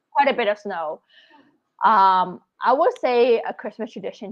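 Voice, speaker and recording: The speaker is a woman, and hers is an ordinary speaking voice. She pitches it fairly high and uses ordinary pitch variation. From Canada, Scarborough, Toronto. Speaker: travel blogger. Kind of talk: casual chat.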